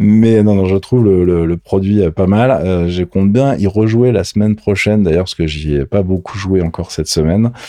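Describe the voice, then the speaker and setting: A man with a dark, mellow tone and fairly low pitch talks at a moderate pace with hardly any pauses and ordinary pitch variation. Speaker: gaming and tech podcast co-host. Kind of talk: casual chat. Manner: animated.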